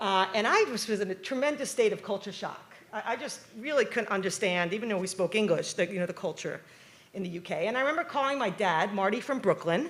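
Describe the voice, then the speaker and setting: A woman with a New York accent talks at a very fast pace, her medium pitch carried by lively intonation over noticeable background noise. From New York, Long Island. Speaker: professor. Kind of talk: keynote talk. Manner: animated.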